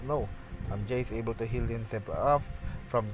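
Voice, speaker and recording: A man's fairly low voice with ordinary pitch variation, audible room echo and music in the background. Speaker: esports shoutcaster. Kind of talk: live commentary. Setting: solo practice cast. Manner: halting, many fillers and restarts.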